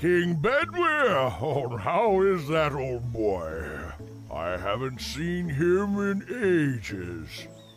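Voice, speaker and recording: A man's cartoonish character voice at medium pitch, very slow, with clear music in the background. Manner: grand, stammering.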